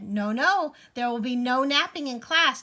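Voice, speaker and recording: In a put-on character voice, a woman speaks in a sing-song way at a high pitch and moderate pace, on a very clean recording with a silent background. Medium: read story. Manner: chirpy, sing-song.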